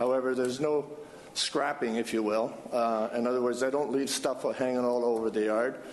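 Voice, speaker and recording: Delivered at a moderate pace, the speech has monotone, flat intonation and very even loudness, with noticeable background noise behind it. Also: man, medium pitch for a man. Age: 70s. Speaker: applicant at city council. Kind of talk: public hearing testimony. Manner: halting, many fillers.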